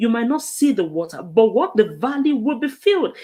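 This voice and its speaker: An animated tone at a fairly quick pace amid noticeable background noise. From northern Nigeria. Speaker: talk show host. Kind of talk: motivational talk. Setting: live stream.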